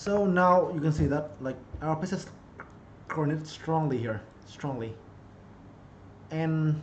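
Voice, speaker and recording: With a Vietnamese accent, a man speaks in a fairly high, somewhat breathy voice with ordinary pitch variation and audible room echo. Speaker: chess streamer and coach. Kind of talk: live-streamed chess lesson. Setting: live stream.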